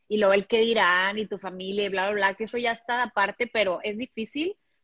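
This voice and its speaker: This is a plain, everyday voice with ordinary pitch variation. It sounds dry and close with no echo over a quiet background. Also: woman. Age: 30s. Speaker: podcaster. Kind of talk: casual chat.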